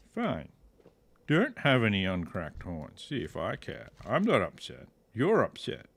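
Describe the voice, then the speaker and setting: A man with an Australian accent, a relaxed tone and a fairly slow pace. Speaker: video game streamer. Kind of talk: gameplay commentary. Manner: casual, relaxed.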